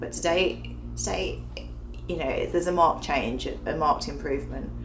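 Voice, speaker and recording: Noticeable background noise and audible room echo around a woman talking at a fairly quick pace. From England. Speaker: video blogger. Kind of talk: personal video diary. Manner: casual, many filler ums.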